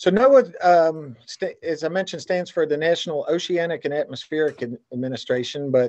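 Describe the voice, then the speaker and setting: In quiet surroundings, a man talks fairly quickly. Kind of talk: webinar welcome remarks. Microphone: video call.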